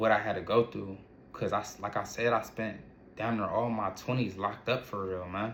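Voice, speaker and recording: Someone speaks with an American accent at a fairly quick pace. Audible room echo follows the voice. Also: man. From Ohio, US. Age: 30s. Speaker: entrepreneur and vlogger. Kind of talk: personal testimony monologue. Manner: halting, repetitive restarts.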